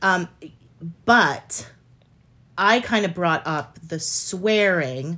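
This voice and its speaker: Woman's bright, sharp tone at medium pitch, very slow with long, frequent pauses and ordinary pitch variation. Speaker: podcast co-host. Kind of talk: casual banter. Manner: animated, passionate.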